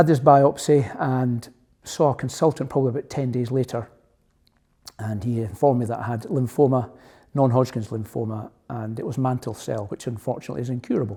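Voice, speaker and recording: A man with a Scottish accent talks at a fairly quick pace in a medium pitch, somewhat breathy and with a dark, mellow tone and fairly even intonation, in a very clean recording with a silent background. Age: 60s. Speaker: cancer patient, retired police officer. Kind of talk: testimony.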